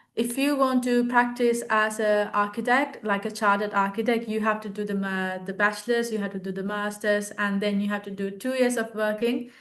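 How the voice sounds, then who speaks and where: A woman at medium pitch and a moderate pace, monotone and flat in intonation, with a quiet background. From Sri Lanka. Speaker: architecture graduate and art teacher. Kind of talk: interview Q&A. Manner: halting with many fillers.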